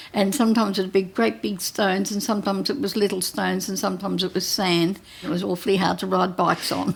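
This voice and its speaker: With an Australian accent, a woman speaks at a very fast pace with hardly any pauses, using a medium pitch and ordinary pitch variation. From Australia, Gippsland, Victoria. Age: 80s+. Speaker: retired nurse and hospital visitor. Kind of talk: interview, life story. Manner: halting, with fillers.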